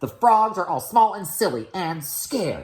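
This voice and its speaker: Here a man performs a put-on character voice at a high pitch. His pace is moderate. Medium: read story. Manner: sly, honeyed and scheming.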